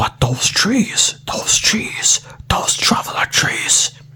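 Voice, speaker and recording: Over noticeable background noise, a man whispers in a calm tone at a very slow pace. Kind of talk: ASMR book reading. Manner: soft, calm.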